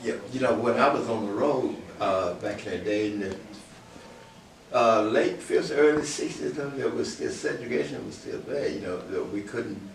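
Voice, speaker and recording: Pausing long and often, a man speaks at a moderate pace amid noticeable background noise and audible room echo. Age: 80s+. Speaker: blues musician. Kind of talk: interview. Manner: halting.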